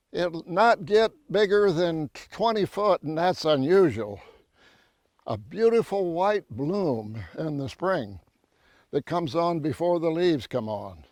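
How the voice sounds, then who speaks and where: A man with a Texas accent speaks fairly slowly at a high pitch, swinging very widely in pitch. The sound is dry and close, with no echo. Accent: Texas Southern US. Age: 90s. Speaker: rancher and conservationist. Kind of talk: outdoor tree-planting demonstration. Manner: folksy, conversational.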